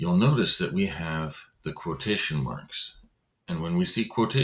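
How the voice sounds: A quiet background surrounds a natural reading voice.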